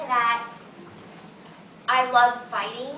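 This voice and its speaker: A woman's high, raised, projected voice at a very slow pace, with noticeable background noise and audible room echo. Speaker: voice actress. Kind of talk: convention panel Q&A. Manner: halting.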